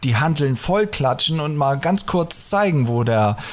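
Over noticeable background noise, a man with a fairly high pitch speaks in very wide pitch swings. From northern Germany. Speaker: podcast host. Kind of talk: casual chat. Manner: fast. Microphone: echoey, cave-like sound.

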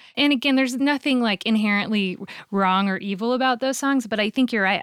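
A woman speaks in a plain, everyday voice, fairly high with ordinary pitch variation. The recording is very clean, with a silent background. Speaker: podcast host and singer. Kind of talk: casual chat.

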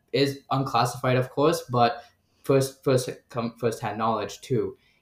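With an American accent, a man talks in a somewhat breathy voice and fairly even intonation. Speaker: graduate student. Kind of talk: casual chat.

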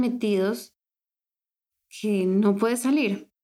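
A fairly high-pitched woman's voice with a dark, mellow tone and fairly even intonation, on a very clean recording with a silent background. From Colombia. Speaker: life coach and podcast host. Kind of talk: personal monologue podcast.

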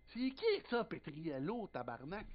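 A man speaks in a Quebec accent with very wide pitch swings. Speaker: racing podcast co-host. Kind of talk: casual chat.

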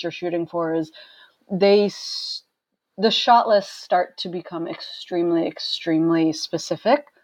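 A woman with an American accent speaks at a fairly slow pace and a medium pitch. It is a plain, everyday voice. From Maine, US. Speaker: photographer. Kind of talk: casual interview chat.

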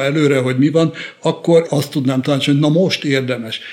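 Against noticeable background noise, a man talks in a fairly high pitch with fairly even intonation. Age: 70s. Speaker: criminology professor. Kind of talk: interview.

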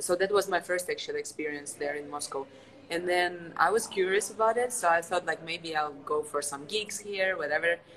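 A woman's fairly low voice at a fairly quick pace over noticeable background noise. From Ukraine. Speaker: martial artist and stunt actress. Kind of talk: casual chat.

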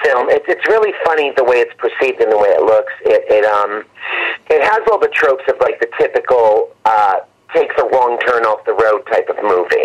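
A man speaks at a moderate pace with very even loudness. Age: 60s. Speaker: horror film director and actor. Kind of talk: interview.

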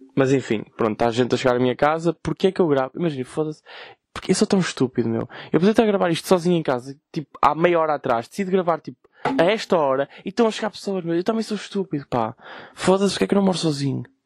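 Recorded very cleanly against a silent background, a man with a northern Portuguese accent talks very fast in a fairly high voice with lively intonation and a dry, close sound with no echo. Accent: Gaia (northern Portugal). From Portugal, Gaia. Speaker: podcast host. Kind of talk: casual chat. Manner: animated.

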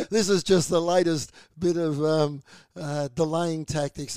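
A man with an Australian accent, a fairly high pitch and a dark, mellow tone, at a fairly slow pace with fairly even intonation, in a dry, close sound with no echo. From Australia (Melbourne). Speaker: community radio host. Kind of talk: casual news discussion on radio. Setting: radio studio.

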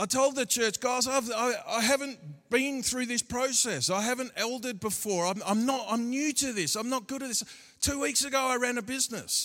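A man with an Australian accent speaks at a moderate pace in an extremely high pitch, with ordinary pitch variation. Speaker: pastor. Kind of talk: sermon. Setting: church. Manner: animated.

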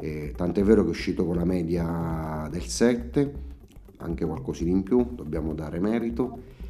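Audible room echo surrounds a man whose very deep, low voice carries lively intonation. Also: moderate pace. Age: 40s. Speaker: charity canteen manager. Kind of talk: interview answers.

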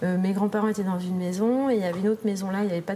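Very fast and with fairly even intonation, a woman at a medium pitch speaks over noticeable background noise. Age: 30s. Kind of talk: casual interview. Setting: library.

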